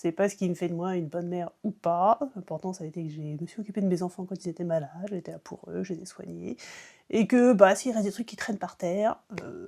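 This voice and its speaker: Speaking at a very fast pace, a woman with a dark, mellow tone and medium pitch shows ordinary pitch variation in a very clean recording with a silent background. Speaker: YouTuber, parent vlogger. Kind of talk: casual vlog monologue. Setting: at home. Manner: hesitant, many fillers.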